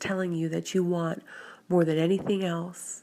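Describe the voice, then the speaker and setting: A woman speaks with a fairly low pitch and a dark, mellow tone. Her intonation stays fairly even. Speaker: hypnotherapist. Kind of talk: guided hypnosis session. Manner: slow; soft-spoken.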